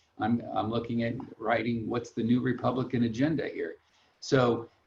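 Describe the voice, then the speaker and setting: A man with an American accent, somewhat breathy, at a moderate pace and in a monotone, flat intonation. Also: medium pitch for a man. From Long Beach, California. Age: 60s. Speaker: financial planner. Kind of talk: webinar interview. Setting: online webinar. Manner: casual, halting with repetitions.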